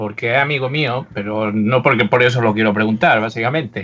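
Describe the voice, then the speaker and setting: A man speaks at a moderate pace in a bright, sharp tone. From Andalusia, Úbeda. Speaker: podcast co-host. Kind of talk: casual chat.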